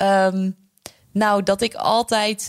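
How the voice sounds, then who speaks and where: Here a woman speaks with a medium pitch. The recording is very clean, with a silent background. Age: 20s. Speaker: radio presenter and author. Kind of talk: interview.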